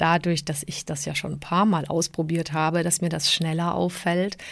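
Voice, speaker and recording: A woman speaks with a fairly low pitch. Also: very clean recording, silent background. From southern Germany (emigrated from Prague at age 7). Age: 40s. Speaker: podcast host. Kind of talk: solo podcast monologue.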